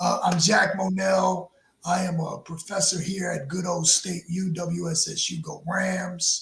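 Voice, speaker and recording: A man speaks with a New York accent and a high pitch. His intonation is monotone and flat. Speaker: professor. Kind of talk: panel discussion.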